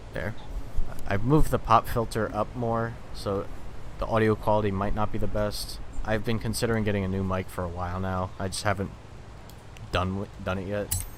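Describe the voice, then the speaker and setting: A man of fairly low pitch talks at a moderate pace with fairly even intonation. He leaves long, frequent pauses. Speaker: gaming streamer. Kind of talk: live gameplay commentary. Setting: livestream. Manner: monotone; soft-spoken.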